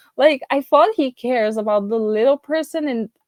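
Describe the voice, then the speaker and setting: A woman with a non-native accent, lively intonation and a moderate pace, in a dry, close sound with no echo. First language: not English. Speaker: YouTube TV show reviewer. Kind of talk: casual video review monologue. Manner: halting, many fillers and restarts.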